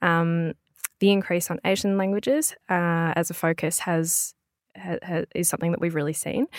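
A woman's fairly low voice in an Australian accent, with fairly even intonation, in a dry, close sound with no echo on a very clean recording with a silent background. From Melbourne, Australia. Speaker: language business owner and podcaster. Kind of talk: interview. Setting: studio.

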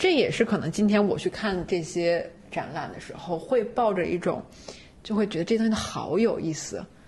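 A woman is speaking at a fairly slow pace. Hers is a plain, everyday voice. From China. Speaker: doctoral student and freelance writer. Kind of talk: casual chat.

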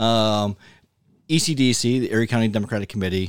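On a very clean recording with a silent background, a man with a Western New York accent speaks at a fairly low pitch and fairly quick pace, with ordinary pitch variation. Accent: Western New York (Inland North) American. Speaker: podcast co-host. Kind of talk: casual chat.

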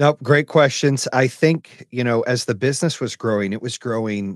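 A man with an ordinary speaking voice talks at a medium pitch with ordinary pitch variation, the sound dry and close with no echo. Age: 40s. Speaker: entrepreneur and company CEO. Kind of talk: interview.

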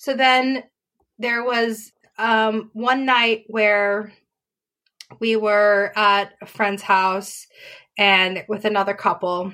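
With an American accent and a bright, sharp tone, the voice moves at a very slow pace with fairly even intonation and long, frequent pauses in a very clean recording over a silent background. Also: woman, fairly high pitch for a woman. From Australia. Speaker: abuse survivor. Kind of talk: casual interview, personal story.

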